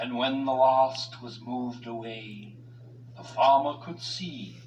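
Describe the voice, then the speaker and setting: A man speaks very slowly at medium pitch. Background noise comes through clearly. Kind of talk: rhyming children's read-along. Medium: read story. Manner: sing-song, rhythmic.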